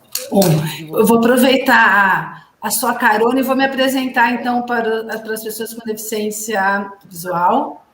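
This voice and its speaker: Heard with audible room echo, a woman talks at a fairly slow pace with a fairly high pitch and fairly even intonation. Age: 50s. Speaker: physical education teacher. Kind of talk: interview.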